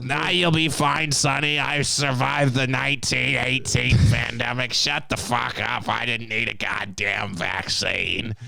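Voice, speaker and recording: Speaking in a put-on character voice, a man holds a medium pitch. His pace stays moderate. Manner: blunt, dismissive, swearing.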